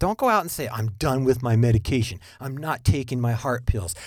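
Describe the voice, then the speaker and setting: A man's medium-pitched, lively voice, an unremarkable speaking voice, on a very clean recording with a silent background. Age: 50s. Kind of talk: monologue podcast with preaching tone.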